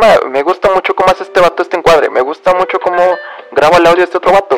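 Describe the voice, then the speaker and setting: Music plays in the background as a man with a Mexican accent speaks at a high pitch. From Mexico. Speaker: podcaster. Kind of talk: casual monologue. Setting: bedroom at home.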